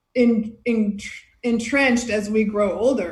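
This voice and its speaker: Fairly even intonation carries a voice with an American accent through audible room echo. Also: woman. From United States. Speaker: beach volleyball player and podcaster. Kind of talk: casual chat.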